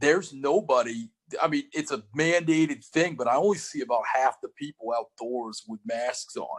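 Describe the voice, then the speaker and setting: A man speaks loudly at a fairly high pitch and a moderate pace, with lively intonation. The sound is dry and close, with no echo. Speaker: comedy podcast host. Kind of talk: casual chat. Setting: video call.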